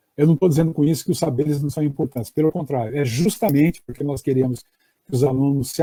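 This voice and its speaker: A man with a dark, mellow tone and a fairly high pitch sounds somewhat breathy, moving at a fairly quick pace with ordinary pitch variation. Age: 60s. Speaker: education professor. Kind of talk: online lecture. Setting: live stream. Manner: hesitant with fillers.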